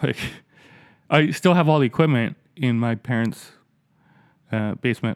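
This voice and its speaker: At a moderate pace, a man with a medium pitch and ordinary pitch variation speaks with long, frequent pauses in a dry, close sound with no echo. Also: very clean recording, silent background. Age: 40s. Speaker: podcast host with progressive vision loss. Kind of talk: casual chat. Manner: halting.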